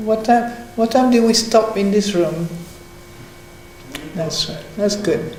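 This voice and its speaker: A woman with a fairly high pitch talks at a very slow pace with long, frequent pauses, amid noticeable background noise and audible room echo. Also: ordinary pitch variation. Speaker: meditation and Dhamma talk leader. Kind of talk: casual chat. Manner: halting.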